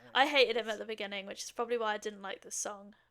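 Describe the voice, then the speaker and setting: A woman's fairly high, bright and sharp voice in a British accent. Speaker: podcast host. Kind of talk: casual chat. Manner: animated.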